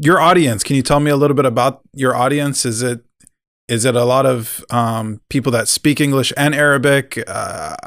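A plain, everyday voice from a man, medium in pitch, at a moderate pace. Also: very clean recording, silent background. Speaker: podcast co-host. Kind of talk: casual chat.

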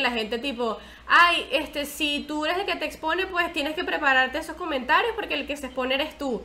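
A woman's raised, projected voice in a Venezuelan accent, bright and sharp in tone, with ordinary pitch variation. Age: 20s. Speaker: podcast host. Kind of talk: casual chat.

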